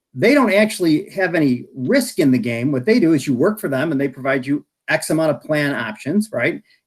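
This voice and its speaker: A mumbling man with an American accent, his fairly high voice swinging very widely in pitch. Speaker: health insurance industry expert. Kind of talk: presentation at online meeting. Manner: fast.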